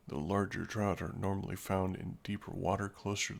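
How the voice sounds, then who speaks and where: A quiet man speaks at a moderate pace with a fairly low pitch. His intonation stays fairly even. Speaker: gaming streamer. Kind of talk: live game commentary. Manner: quiet, subdued.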